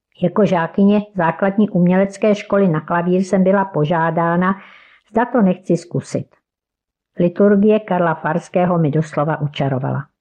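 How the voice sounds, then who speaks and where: A woman's ordinary speaking voice, fairly low in pitch, at a moderate pace, with ordinary pitch variation and very even loudness. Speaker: church member and devotional author. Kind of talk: devotional reflection.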